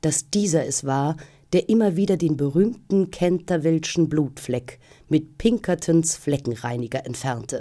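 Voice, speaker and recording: The voice has a dark, mellow tone and a theatrical, dramatic delivery, moving at a moderate pace against a quiet background. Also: woman. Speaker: actress reading audiobook. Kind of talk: audiobook narration of a gothic ghost story, read aloud. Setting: studio. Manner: theatrical, measured and suspenseful, with storyteller's dramatic emphasis. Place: studio.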